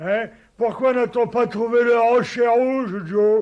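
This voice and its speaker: A man does a cartoonish character voice at an extremely high pitch. He speaks at a fairly slow pace. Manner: slow, naive.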